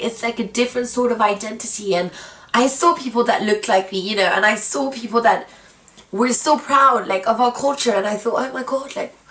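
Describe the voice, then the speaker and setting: Speaking at a fairly quick pace, a woman with a high voice uses ordinary pitch variation over noticeable background noise. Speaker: vlogger. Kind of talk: personal vlog monologue.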